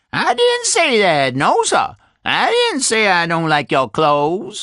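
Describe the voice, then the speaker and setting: A man does a put-on character voice in a Southern US accent. His pitch is high and his pace fairly slow. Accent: Southern American dialect, drops letters. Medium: read story. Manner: repetitive, rambling, folksy.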